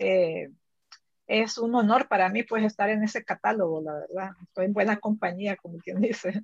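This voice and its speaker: Dry and close with no echo, the recording has a woman at medium pitch with ordinary pitch variation, a moderate pace, and a normal speaking voice. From El Salvador. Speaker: writer. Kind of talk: book club conversation.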